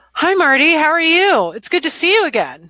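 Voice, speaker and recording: A put-on character voice at a fairly quick pace. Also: woman, extremely high pitch for a woman. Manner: fake voice.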